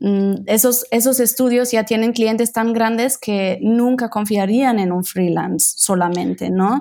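A fairly slow pace, very even loudness and hardly any pauses. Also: woman, fairly high pitch for a woman. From Germany, Berlin. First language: German and Italian (speaking Spanish). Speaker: visual designer, design studio co-founder. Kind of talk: interview conversation.

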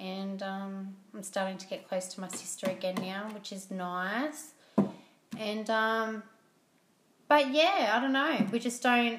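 Woman with an Australian accent, medium pitch, very slow pace, big swings in loudness and audible room echo. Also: ordinary pitch variation. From Australia, Port Macquarie, New South Wales. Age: 30s. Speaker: podcast guest, host's wife. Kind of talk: casual chat. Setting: at home.

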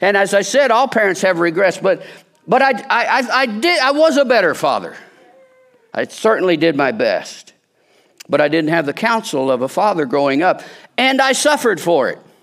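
Here a man with an American accent talks at a high pitch. His voice makes very wide pitch swings. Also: moderate pace. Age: 60s. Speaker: lay preacher at a church. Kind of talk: sermon. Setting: church service with congregation, streamed.

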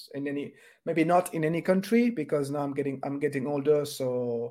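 A man talks at a fairly quick pace with a French accent. His fairly high voice has a dark, mellow tone. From France. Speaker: podcast host. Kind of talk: interview.

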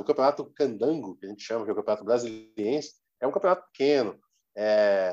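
In a Brazilian accent, a man with a medium-pitched, dark, mellow voice talks at a fairly quick pace. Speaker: football social media page creator. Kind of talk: casual interview chat.

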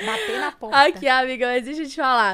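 Her pitch is high. This woman talks at a fairly quick pace. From Brazil, Minas Gerais (Governador Valadares). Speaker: podcast host. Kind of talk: casual chat.

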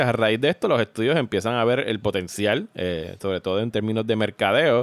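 In a very clean recording with a silent background and a dry, close sound with no echo, a man with a normal speaking voice talks at medium pitch and a moderate pace. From Puerto Rico. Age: 40. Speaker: podcast host. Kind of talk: casual chat.

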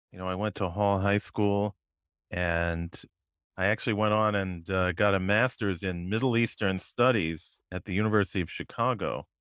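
A plain, everyday voice from a man, fairly low in pitch, at a moderate pace with fairly even intonation. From Connecticut, West Hartford. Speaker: local historian and YouTuber. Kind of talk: casual interview.

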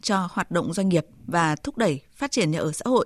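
This woman has a normal speaking voice with lively intonation, moving at a moderate pace. The sound is dry and close with no echo, over a quiet background. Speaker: radio news presenter. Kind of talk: news reading. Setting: studio.

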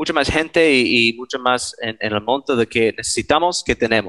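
A man with an English accent speaks at a fairly slow pace with lively intonation. His tone is bright and sharp, and the sound is dry and close with no echo. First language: English (speaking Spanish). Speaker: archaeologist, member of an aid collective. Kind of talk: interview. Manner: halting, many repetitions.

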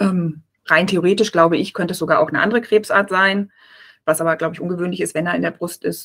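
This woman talks at a very fast pace. Her pitch sits fairly low, with fairly even intonation. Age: 40s. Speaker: press officer and author, breast cancer survivor. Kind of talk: interview, personal testimony.

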